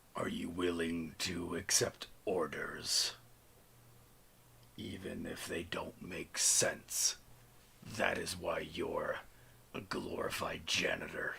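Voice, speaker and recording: A man puts on a raspy character voice, speaking very slowly with long, frequent pauses. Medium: actual play. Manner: cold, clipped, emotionless.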